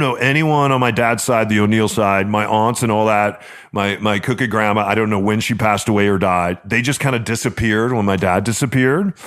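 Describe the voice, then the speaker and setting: With an ordinary speaking voice, a man talks at a medium pitch and a fairly quick pace in a very clean recording with a silent background. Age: 50s. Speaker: radio host and podcast co-host. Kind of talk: casual chat. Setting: studio.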